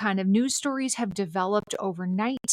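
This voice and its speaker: A woman with a Minnesotan accent speaks at a moderate pace in a fairly high voice, her intonation lively. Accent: Minnesota. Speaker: civic educator and author. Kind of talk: podcast interview.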